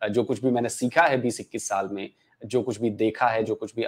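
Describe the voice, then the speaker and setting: His pace is fairly quick and his intonation fairly even. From Bihar, Gopalganj district; Bihar. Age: 40s. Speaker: YouTuber and former TV journalist; podcast guest, YouTuber. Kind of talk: interview. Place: home room. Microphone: lapel.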